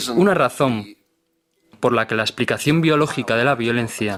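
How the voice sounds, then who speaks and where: His pace is moderate and his pitch shifts in an ordinary way. The man has a plain, everyday voice. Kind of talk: documentary dub.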